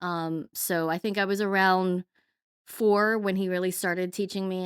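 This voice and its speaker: This woman's fairly even intonation comes through a very clean, dry, close recording with no echo and a silent background. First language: not English. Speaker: construction workforce training director. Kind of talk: interview. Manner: articulate, with many fillers.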